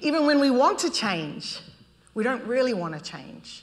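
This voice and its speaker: With a New Zealand accent, a woman speaks high-pitched at a moderate pace, her pitch swinging very widely over noticeable background noise. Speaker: urban design expert. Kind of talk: public talk presentation.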